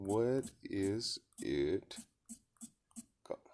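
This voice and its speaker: A man talks with a non-native accent. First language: not English. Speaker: vlogger. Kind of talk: casual monologue. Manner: casual, swearing, halting with repetitions.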